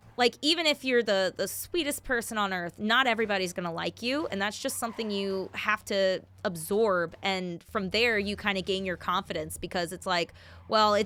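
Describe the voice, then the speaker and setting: Loud and fairly quick, a woman speaks with a bright, sharp tone at a medium pitch and ordinary pitch variation. She hardly pauses, and the recording is very clean with a silent background. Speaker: singer and bandleader. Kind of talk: casual interview while gaming. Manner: animated.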